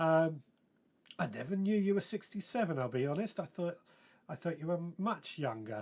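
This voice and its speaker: A man speaks with a southern English accent and lively intonation. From southern England (West Sussex). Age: 40s. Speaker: gardening podcast host. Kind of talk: live stream chat reading viewer comments.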